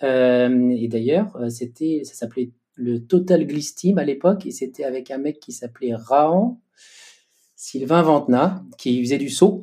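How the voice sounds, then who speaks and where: A man speaks very slowly with a dark, mellow tone, pitched fairly high with ordinary variation and big swings in loudness. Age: 40s. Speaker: inline skater and sports official. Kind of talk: interview.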